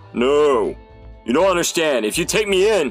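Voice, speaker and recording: Over clear background music, a man puts on a character voice, pitched fairly high and delivered at a moderate pace. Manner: pleading, desperate.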